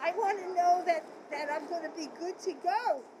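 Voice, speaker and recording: The speech moves at a fairly slow pace. Noticeable background noise can be heard behind it. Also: woman. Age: 70s. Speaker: documentary interviewee. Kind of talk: interview testimony.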